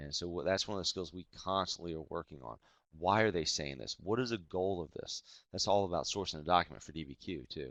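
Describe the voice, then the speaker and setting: Here a man talks at a very fast pace. His pitch is very deep and low, with ordinary variation. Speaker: teacher leading a webinar. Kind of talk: webinar presentation.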